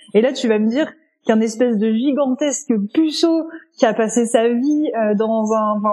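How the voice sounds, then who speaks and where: Speaking at a fairly slow pace with a non-native accent, a woman has a fairly high pitch, a dark, mellow tone and ordinary pitch variation. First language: not French (speaking French). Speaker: podcast co-host. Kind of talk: casual chat.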